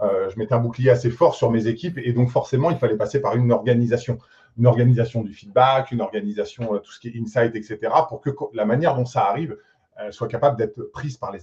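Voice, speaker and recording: A man with a medium pitch talks at a very fast pace, his tone dark and mellow. His intonation stays fairly even while his loudness swings widely. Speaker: tech executive (CTO). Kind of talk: panel discussion.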